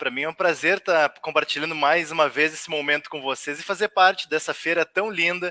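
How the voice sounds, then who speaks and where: A man with a normal speaking voice talks at a moderate pace with a fairly high pitch and fairly even intonation, recorded dry and close with no echo. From southern Brazil, Rio Grande do Sul (Porto Alegre area). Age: 30s. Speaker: writer. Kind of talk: online talk. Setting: livestream.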